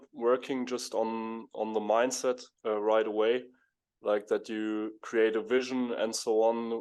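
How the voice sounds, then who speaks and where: Against a quiet background, the speech comes in monotone, flat intonation. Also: man. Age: 20s. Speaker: professional poker player. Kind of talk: interview. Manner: hesitant, many fillers.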